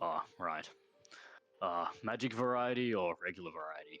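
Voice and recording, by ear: Putting on a gruff character voice, a man speaks at a medium pitch and a moderate pace with lively intonation.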